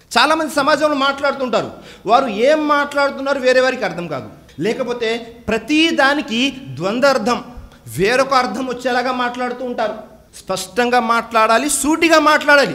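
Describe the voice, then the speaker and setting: A man's raised, projected voice at an extremely high pitch, over noticeable background noise. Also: ordinary pitch variation. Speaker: Islamic preacher. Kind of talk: Islamic sermon / religious talk. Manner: earnest, direct, preaching.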